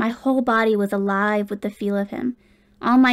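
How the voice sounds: Fairly even intonation in a natural reading voice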